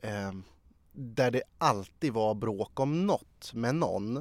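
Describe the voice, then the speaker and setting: The recording is very clean and the background silent. The sound is dry and close, without any echo. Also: man. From Sweden, Sala. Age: 30s. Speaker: journalist. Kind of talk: interview.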